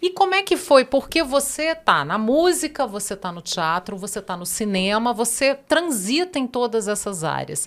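Her pitch is fairly high, and she swings it very widely while her loudness rises and falls sharply. The woman keeps a moderate pace with hardly any pauses. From Brasília, Brazil. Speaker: podcast host. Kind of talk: interview.

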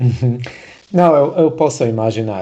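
A dark, mellow tone with a non-native accent. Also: man. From abroad, not Brazil. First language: not Portuguese (speaking Portuguese). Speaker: podcast host. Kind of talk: podcast interview. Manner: halting, many repetitions.

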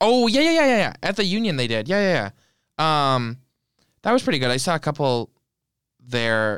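Pausing long and often, a man talks at a moderate pace with very wide pitch swings and very even loudness. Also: fairly high pitch for a man. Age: 20s. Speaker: podcast co-host. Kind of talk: casual chat.

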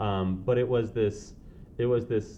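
In an American accent, a man talks at a fairly low pitch with fairly even intonation. Audible room echo surrounds his voice. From San Diego, California. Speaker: podcast guest. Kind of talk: casual interview.

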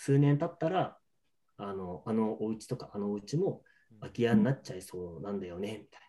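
With a dark, mellow tone and fairly low pitch, a man speaks at a moderate pace with lively intonation. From Niigata, Nagaoka. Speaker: lodging business owner. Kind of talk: interview.

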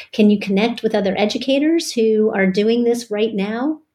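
A woman with an American accent has a plain, everyday voice at a fairly high pitch. She speaks at a moderate pace with ordinary pitch variation. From Pittsburgh, US. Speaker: podcast co-host. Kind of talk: casual chat.

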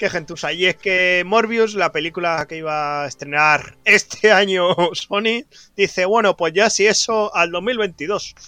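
With a raised, projected voice, a man speaks at a high pitch and fairly slow pace in a bright, sharp tone, with a dry, close sound and no echo. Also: ordinary pitch variation. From Spain, Barcelona. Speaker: podcast co-host. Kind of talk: casual chat.

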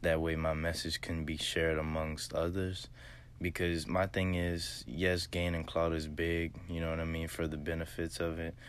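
A man with an American accent speaks at a moderate pace. His very deep, low pitch carries monotone, flat intonation. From US South, southwest Louisiana. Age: 20s. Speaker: podcaster. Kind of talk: motivational monologue. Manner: hesitant, many fillers.

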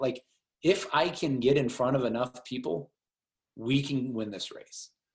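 At a moderate pace and medium pitch, a man talks in an ordinary speaking voice with ordinary pitch variation. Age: 40s. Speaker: congressional candidate. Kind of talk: interview.

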